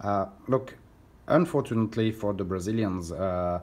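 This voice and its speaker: A man with a French accent talks at a fairly low pitch. He speaks at a fairly slow pace with fairly even intonation. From France. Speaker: record collector. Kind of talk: casual vlog. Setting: hotel room. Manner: halting, many fillers.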